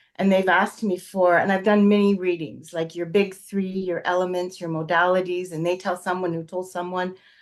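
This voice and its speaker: A woman with a Canadian accent talks in a plain, everyday voice at medium pitch. She keeps a moderate pace against a quiet background. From Canada. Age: 60s. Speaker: astrology student. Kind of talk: casual interview chat.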